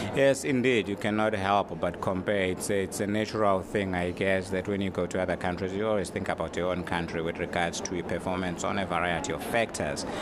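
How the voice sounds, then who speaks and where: Very deep, low-pitched male voice with a Zulu accent, fairly quick and fairly even in intonation, over noticeable background noise. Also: hardly any pauses. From South Africa. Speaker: travel writer. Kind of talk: interview.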